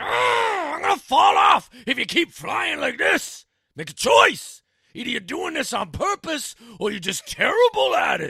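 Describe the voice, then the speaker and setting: A man shouts in a put-on character voice at an extremely high pitch. His pace is moderate. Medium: read story. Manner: folksy, dialect grammar.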